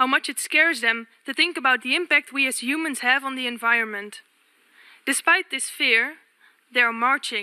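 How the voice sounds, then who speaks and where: A woman uses a raised, projected voice at a high pitch with a bright, sharp tone, and the sound is dry and close with no echo. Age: 20s. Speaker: youth delegate. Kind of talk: formal speech. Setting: UN assembly. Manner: formal.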